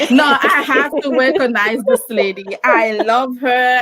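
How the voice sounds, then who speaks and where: Her pitch is high, with ordinary variation. The woman talks at a fairly slow pace. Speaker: podcast co-host. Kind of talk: casual chat. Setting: livestream. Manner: halting.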